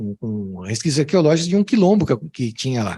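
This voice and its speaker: A man speaks at a fairly quick pace with a fairly high pitch. His pitch swings very widely. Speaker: music professor. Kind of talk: academic talk with Q&A. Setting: conference with audience. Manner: hesitant, many fillers and repetitions.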